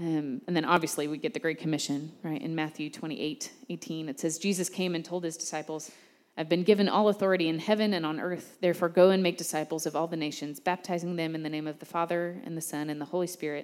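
A woman with an American accent talks at a very fast pace in a fairly low pitch. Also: fairly even intonation. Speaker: church small-group leader. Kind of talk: sermon. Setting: church gathering with audience.

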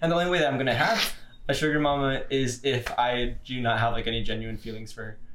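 A man rushes through his words at a medium pitch, his pitch varying in an ordinary way, with clear background noise behind him. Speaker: podcast co-host. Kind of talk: casual banter. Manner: stuttering, mispronounces words.

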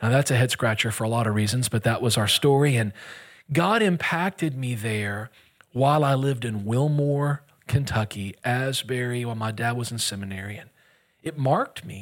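At a moderate pace, a man with an American accent speaks at medium pitch in a plain, everyday voice with ordinary pitch variation, on a very clean recording with a silent background. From US Gulf Coast. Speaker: guest pastor. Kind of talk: sermon. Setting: church, stage with audience.

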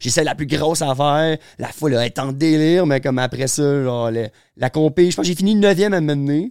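A plain, everyday voice. It moves at a fairly quick pace with ordinary pitch variation. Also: man. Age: 20s. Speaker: pro skateboarder. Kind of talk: casual chat.

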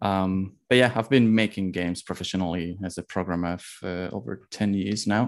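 Against a quiet background, a man with a Spanish accent and a very deep, low pitch talks at a moderate pace with fairly even intonation and hardly any pauses. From Spain. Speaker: indie game developer. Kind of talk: interview.

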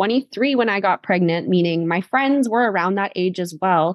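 A woman with a Canadian accent speaks at a medium pitch in a normal speaking voice. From Canada. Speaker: podcast host. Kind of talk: casual interview; scripted narration.

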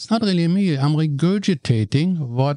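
In a dark, mellow tone, a man with a German accent speaks at a moderate pace in a dry, close sound with no echo. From Germany, Cologne. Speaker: real estate investor and radio commentator. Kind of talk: casual interview chat.

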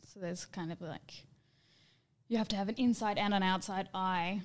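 A soft-spoken delivery with fairly even intonation, long, frequent pauses and big swings in loudness. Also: woman. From Perth, Western Australia. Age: 20s. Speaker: dancer and performer. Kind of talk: casual chat.

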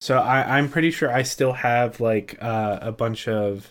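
The recording is very clean, and the background is silent. In it, a man talks at a medium pitch. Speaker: podcast co-host, video editor. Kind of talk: casual chat. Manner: laid-back, laughs often.

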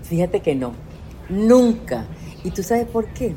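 Noticeable background noise surrounds a woman's voice. She speaks at medium pitch with lively intonation. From Venezuela. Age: 60s. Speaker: life coach. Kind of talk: casual interview. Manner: animated.

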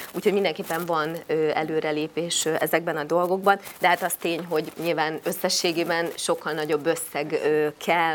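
This woman talks at a moderate pace in a fairly low voice, her intonation flat and monotone. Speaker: member of parliament hosting a public forum. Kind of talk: moderated panel discussion.

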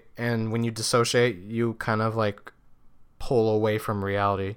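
On a very clean recording with a silent background, a man talks at a moderate pace and a medium pitch. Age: 20s. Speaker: solo podcaster. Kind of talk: casual monologue. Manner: halting, many fillers and restarts.

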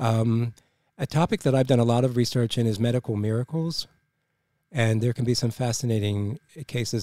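On a very clean recording with a silent background, a man at medium pitch uses a dark, mellow tone, fairly even intonation and a fairly quick pace. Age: 60s. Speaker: podcast co-host. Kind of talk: casual podcast chat.

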